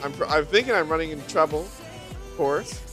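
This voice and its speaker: Man's voice with music in the background. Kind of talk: gameplay commentary. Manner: casual, playful.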